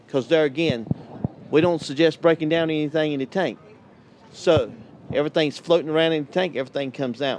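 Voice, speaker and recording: Someone talks at a very fast pace with a North Carolina accent. The pitch varies in an ordinary way, broken by long, frequent pauses. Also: man, fairly high pitch for a man. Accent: Southern US (North Carolina). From US South, North Carolina. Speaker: tank cleaning business owner. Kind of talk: interview at trade show. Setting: vendor hall at RV show.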